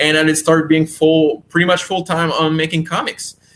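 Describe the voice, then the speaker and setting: Fairly high in pitch, this is a man's voice. His tone is bright and sharp. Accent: Quebec. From Quebec. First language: French. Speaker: comic book writer and creator. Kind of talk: interview. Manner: halting, many repetitions and fillers.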